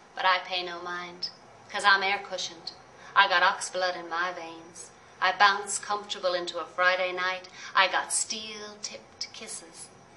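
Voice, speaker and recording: A woman's medium-pitched voice, monotone and flat, at a moderate pace amid noticeable background noise. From Ireland; Dublin. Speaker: poet. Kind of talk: poetry reading.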